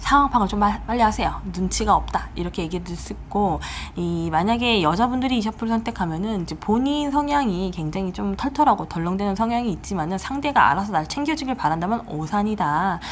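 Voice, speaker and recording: The room adds audible echo, and noticeable noise runs in the background. Through it, a woman talks fairly quickly. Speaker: tarot reader. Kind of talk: tarot reading video monologue. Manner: fast; casual, conversational.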